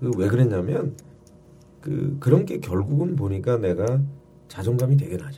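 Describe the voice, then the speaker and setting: A man with a medium pitch and a dark, mellow tone speaks at a moderate pace, using vocal fry and very wide pitch swings. Long, frequent pauses break up his speech, and room echo is audible. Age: 50s. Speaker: comedian. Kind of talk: casual chat.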